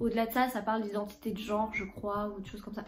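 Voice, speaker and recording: A woman with a medium pitch speaks in a somewhat breathy voice, with audible echo from the room. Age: 20s. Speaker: book YouTuber. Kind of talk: casual vlog, book haul. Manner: hesitant, lots of filler 'euh'.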